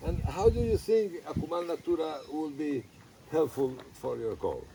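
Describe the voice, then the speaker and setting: The speaker has a Spanish accent and a moderate pace. Noticeable background noise runs underneath. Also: man. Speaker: eco-resort and animal rescue owner. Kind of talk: interview.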